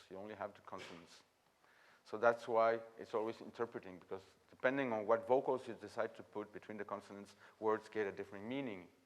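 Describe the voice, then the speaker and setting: Someone with a French accent speaks at a very fast pace with ordinary pitch variation. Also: man, big swings in loudness. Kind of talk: masterclass talk. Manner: halting.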